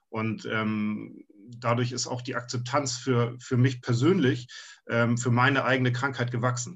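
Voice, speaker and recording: Somewhat breathy man at a medium pitch, fairly slow in pace, with fairly even intonation. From Hamburg, northern Germany. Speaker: fantasy author. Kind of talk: casual interview.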